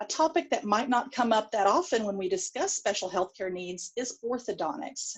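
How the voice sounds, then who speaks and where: This woman has a strong Texan accent and lively intonation. She talks at a moderate pace. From Texas. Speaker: pediatric dentist, conference speaker. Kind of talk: lecture. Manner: hesitant, many fillers.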